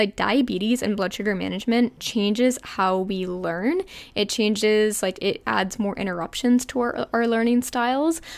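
A woman speaks in a New Jersey accent at a fairly high pitch, her pitch varying in an ordinary way. She leaves hardly any pauses. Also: moderate pace, very clean recording, silent background. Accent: New Jersey American. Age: 20s. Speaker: podcast host and health coach. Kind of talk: casual personal storytelling.

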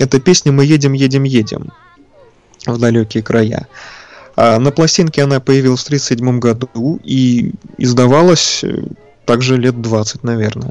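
Music plays in the background as a man speaks at a fairly slow pace. He leaves long, frequent pauses and uses ordinary pitch variation. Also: medium pitch for a man. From Leningrad / Saint Petersburg, Russia. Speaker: record collector and engineer. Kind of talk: guest talking about records on a radio show. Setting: radio broadcast, remote from studio.

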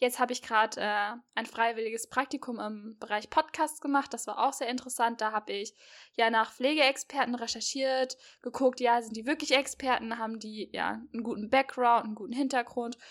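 This woman's voice is high-pitched and moves at a fairly quick pace. Her loudness swings widely. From Hesse, near Marburg. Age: 20s. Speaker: podcast host, university student. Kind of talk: casual chat. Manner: animated.

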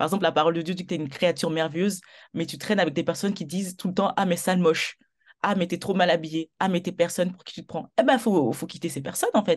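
Her voice sits at a fairly low pitch for a woman, and she speaks at a very fast pace. Her loudness swings widely against a quiet background. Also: ordinary pitch variation. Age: 20s. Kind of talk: testimony in interview.

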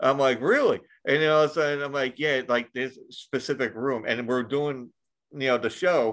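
This man has a fairly high pitch for a man and an ordinary speaking voice, using fairly even intonation at a moderate pace against a quiet background. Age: 40s. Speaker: podcast host. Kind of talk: casual chat.

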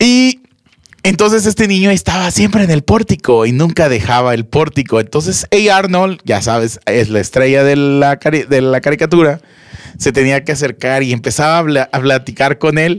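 A man talks at a moderate pace in an unremarkable speaking voice, fairly high in pitch, with lively intonation and very even loudness. The sound is dry and close, with no echo. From Monterrey, Nuevo León, Mexico. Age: 30s. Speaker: podcast co-host. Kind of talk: casual chat.

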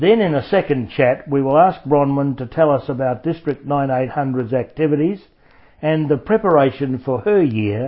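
A man speaks at a moderate pace, his medium pitch showing ordinary variation.

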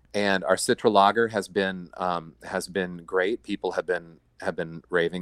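In a flat, monotone delivery with hardly any pauses, a man with an American accent speaks at a very deep, low pitch, recorded dry and close with no echo. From Iowa. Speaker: brewery co-founder. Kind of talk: casual interview. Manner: halting.

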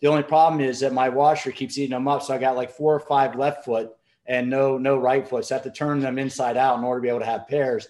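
A man's medium-pitched voice, very fast and monotone with flat intonation. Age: 40s. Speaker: fitness expert. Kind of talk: webinar panel discussion. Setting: video call.

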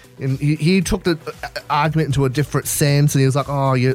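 Over music in the background, a man speaks with an Australian accent at a very fast pace. His pitch is fairly high and his intonation fairly even. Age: 20s. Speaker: radio host. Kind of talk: casual chat.

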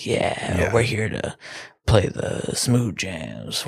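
A man puts on a raspy character voice. He goes at a very slow pace. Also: fairly low pitch for a man. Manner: laid back and smooth.

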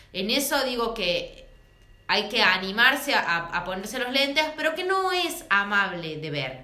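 Over noticeable background noise, a woman speaks at a fairly slow pace with very wide pitch swings. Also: fairly high pitch for a woman. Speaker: feminist podcast co-host. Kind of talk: casual chat.

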